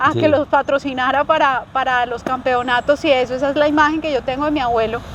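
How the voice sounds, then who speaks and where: Over noticeable background noise, a woman speaks very fast in a high pitch with monotone, flat intonation. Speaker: movement and wellness coach. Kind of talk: interview host questions.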